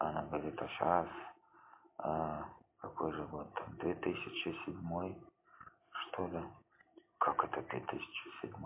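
A man speaking very slowly, with long, frequent pauses. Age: 30s. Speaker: amateur podcaster. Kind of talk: casual monologue while watching a film. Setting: at home with headphones, phone recording. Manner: rambling, hesitant. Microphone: phone mic close to speaker playing film audio.

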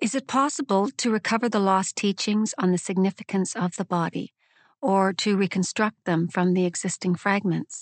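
A woman with a normal speaking voice talks at a moderate pace in a medium pitch. Her loudness is very even, with ordinary pitch variation. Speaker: questioner reading a dialogue. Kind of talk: reading aloud.

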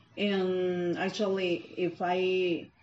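A woman speaks at a medium pitch with a Mexican accent. Noticeable background noise runs under her voice. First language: Spanish. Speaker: preschool English teacher. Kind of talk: interview answers. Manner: halting, searching for words.

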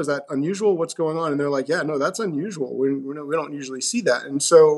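A man with an American accent talks at a very fast pace, his pitch rising and falling by an ordinary amount. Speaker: teacher. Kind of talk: interview. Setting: remote call. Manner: soft-spoken.

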